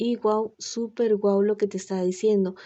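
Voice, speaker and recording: A soft-spoken woman with a fairly high pitch. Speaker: tarot reader. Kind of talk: tarot reading.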